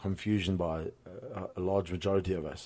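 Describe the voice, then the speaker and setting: The tone is dark and mellow, from a man with a very deep, low pitch. Fairly even intonation runs through it. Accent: South African. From South Africa, Cape Town. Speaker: podcast host and boxing gym owner. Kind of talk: solo podcast monologue. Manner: hesitant, many fillers and repetitions.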